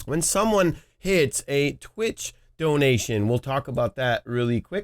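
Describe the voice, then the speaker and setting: A man speaks with very wide pitch swings in a dry, close sound with no echo, on a very clean recording with a silent background. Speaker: streaming tutorial youtuber. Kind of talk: tutorial. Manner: casual, with filler words.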